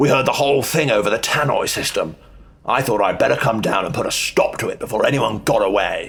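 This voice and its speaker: Putting on a character voice, a man talks at a fairly quick pace in a medium pitch. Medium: audio drama. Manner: cool, controlled.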